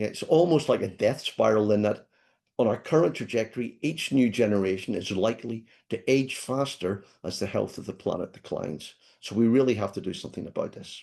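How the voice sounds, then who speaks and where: In a Scottish accent, a man speaks at a fairly quick pace and medium pitch with a dark, mellow tone over a quiet background. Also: ordinary pitch variation. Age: 60s. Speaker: professor. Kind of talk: lecture.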